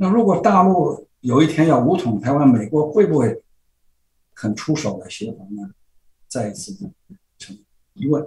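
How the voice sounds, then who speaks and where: A man's fairly high voice with vocal fry, very wide pitch swings, big swings in loudness and long, frequent pauses, over a quiet background. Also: moderate pace. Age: 80s. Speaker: political blogger and commentator; political blogger, commentator. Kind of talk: interview. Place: home room. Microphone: webcam.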